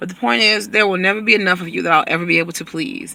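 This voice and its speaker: A man with a high pitch raises and projects his voice. He talks at a very fast pace. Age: 40s. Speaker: vlogger. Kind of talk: casual vlog monologue. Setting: in a parked car.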